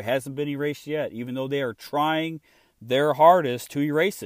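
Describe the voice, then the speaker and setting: A man with an American accent speaks fairly quickly at a fairly high pitch. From Illinois. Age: 30s. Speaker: podcast host, former firefighter and EMS worker. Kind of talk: solo political commentary. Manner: halting, many fillers.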